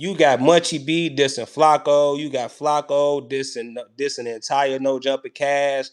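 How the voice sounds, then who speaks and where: A man's fairly high voice with fairly even intonation, on a very clean recording with a silent background. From US Midwest, Chicago. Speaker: hip hop commentary streamer. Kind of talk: live stream commentary. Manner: casual, repetitive filler phrases.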